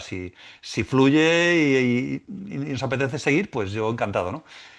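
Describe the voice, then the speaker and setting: The intonation here is lively. The background is quiet. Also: man. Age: 60s. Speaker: musician and spiritual teacher. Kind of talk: podcast interview. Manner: halting, many repetitions.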